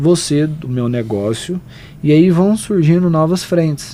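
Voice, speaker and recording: A man with a Goiás accent talks at a moderate pace and fairly high pitch, with ordinary pitch variation, over noticeable background noise. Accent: Goiás accent, mistaken for Minas Gerais. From Goiás, Brazil. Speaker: wealth leverage and consortium specialist. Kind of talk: podcast interview.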